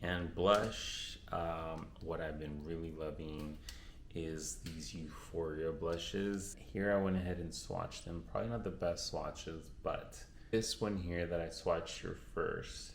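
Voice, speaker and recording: A man with a Spanish accent speaks at a fairly slow pace. Audible room echo surrounds his voice. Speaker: beauty vlogger. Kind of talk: casual chat. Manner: casual, with fillers and restarts.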